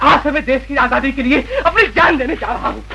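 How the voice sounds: In a put-on character voice, a man talks at a fairly quick pace with an extremely high pitch, a bright, sharp tone, vocal fry and ordinary pitch variation.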